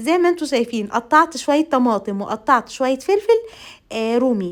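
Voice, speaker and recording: The speaker is a woman. Her voice moves through very wide pitch swings. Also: very clean recording, silent background. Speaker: home cooking vlogger. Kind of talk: cooking tutorial voiceover. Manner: halting with repeated fillers.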